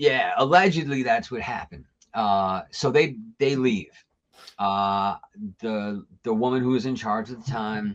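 Pitch shifts in an ordinary way. The talking goes at a moderate pace. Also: man, medium pitch for a man. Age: 40s. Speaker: radio host. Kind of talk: casual chat. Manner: animated.

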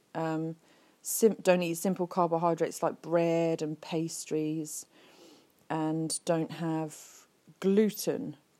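Speaking very slowly with long, frequent pauses, a woman with an English accent has a dark, mellow tone, a fairly low pitch and fairly even intonation. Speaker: podcast host. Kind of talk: casual monologue. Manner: halting, many fillers.

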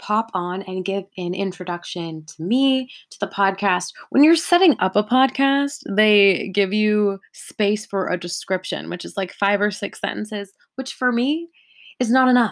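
Against a quiet background, a woman with a Californian accent speaks at a fairly slow pace. Her fairly high voice has lively intonation and big swings in loudness. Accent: Californian American English. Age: 20s. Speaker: podcast host. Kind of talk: solo podcast monologue.

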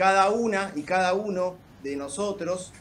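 A man with a Rioplatense accent speaks at a high pitch. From La Plata, Buenos Aires province. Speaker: lawyer. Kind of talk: casual chat with formal questions.

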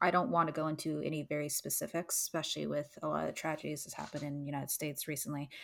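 In a very clean recording with a silent background, a woman with a Canadian accent talks at a very fast pace with hardly any pauses, her very deep, low pitch carrying vocal fry and a fairly even intonation. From Canada. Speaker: podcast co-host. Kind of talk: casual chat.

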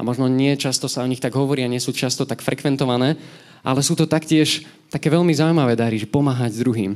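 A man with a fairly high pitch and an unremarkable speaking voice, at a fairly quick pace with ordinary pitch variation. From Slovakia, Nové Zámky. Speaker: lay preacher. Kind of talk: sermon.

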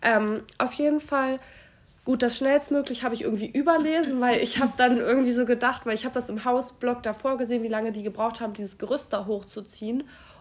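Talking very fast, a woman keeps her high-pitched voice fairly even in intonation. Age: 20s. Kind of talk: casual chat.

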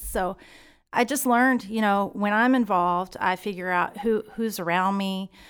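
A woman with a Texan accent at a fairly slow pace, on a very clean recording with a silent background. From Texas, Stephenville. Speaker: school parent volunteer. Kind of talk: interview.

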